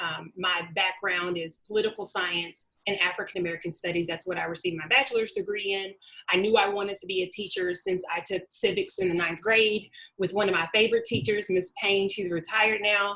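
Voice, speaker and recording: At a fairly quick pace, a woman with a bright, sharp tone and medium pitch speaks with fairly even intonation. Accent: Southern US. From Arkansas, US South, small town. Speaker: webinar presenter, doctoral researcher, former teacher. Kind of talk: webinar presentation. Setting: online webinar.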